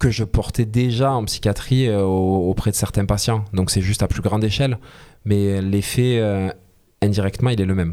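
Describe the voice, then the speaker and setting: Dark, mellow male speech captured in a very clean recording against a silent background. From southern France, Alès (Gard). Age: 30s. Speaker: singer-songwriter. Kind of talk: interview. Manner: animated.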